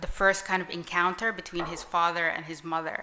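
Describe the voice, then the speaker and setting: In an Arabic accent, a woman talks at a medium pitch with monotone, flat intonation over noticeable background noise. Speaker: writer. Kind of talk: panel discussion.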